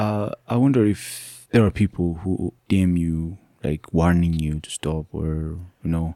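In a very clean recording with a silent background and a dry, close sound with no echo, a man with an Ethiopian accent talks at a fairly slow pace with a very deep, low pitch and ordinary pitch variation. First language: Amharic. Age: young. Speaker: podcast host. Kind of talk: interview. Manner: warm, appreciative.

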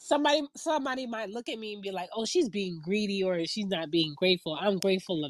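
A woman talks at a fairly quick pace with hardly any pauses, her medium-pitched voice making very wide pitch swings. Her loudness also swings a lot. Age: 30s. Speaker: podcast host. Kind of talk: casual chat.

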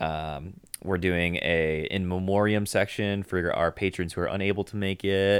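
The recording is very clean, with a silent background, as a man with an American accent speaks at a moderate pace. His pitch is very deep and low, and his intonation fairly even. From Chicago. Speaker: youth ministry worker. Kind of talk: casual chat.

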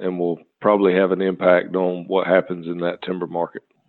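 In a very deep, low voice, a man speaks in a flat monotone. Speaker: timber market analyst. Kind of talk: casual interview.

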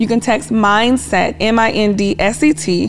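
Over music in the background, a woman speaks with an American accent. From Kansas, US Midwest (military family). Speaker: business therapist. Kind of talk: interview conversation. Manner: firm, commanding.

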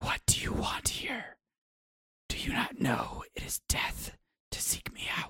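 This is a put-on character voice, raspy and growling. It moves at a fairly slow pace with long, frequent pauses. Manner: snarling, hateful.

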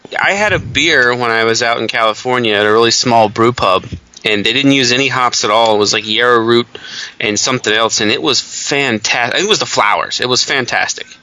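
A man with a medium-pitched voice speaks at a fairly quick pace in a relaxed tone, his intonation fairly even over noticeable background noise. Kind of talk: casual chat. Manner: profane, relaxed.

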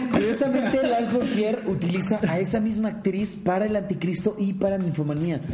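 A high-pitched man's voice with a Mexican accent, moderate pace, hardly any pauses, very even loudness and ordinary pitch variation, amid noticeable background noise and audible room echo. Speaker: podcast host. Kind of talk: casual chat; reading aloud.

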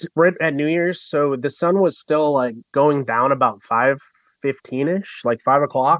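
Keeping a moderate pace, a man talks in a fairly high pitch. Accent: American. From Michigan. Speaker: YouTuber and Navy veteran. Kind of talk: casual interview.

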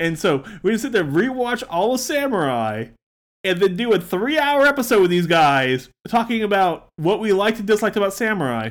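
Speaking at a fairly quick pace, a man uses a high voice that swings very widely in pitch. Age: 30s. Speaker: podcast co-host. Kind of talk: casual chat.

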